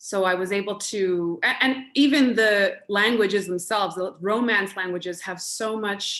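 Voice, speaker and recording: A fairly slow delivery with a Canadian accent, on a very clean recording over a silent background. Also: woman. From Canada (Montreal and Vancouver), Venezuelan parents. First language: Spanish. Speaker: actress. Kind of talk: interview.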